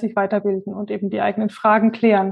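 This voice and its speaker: Here a woman talks in a plain, everyday voice. Her intonation stays fairly even, and her pitch sits fairly high. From Franconia, Germany (near Würzburg). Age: 30s. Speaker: statistics consultant. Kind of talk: interview.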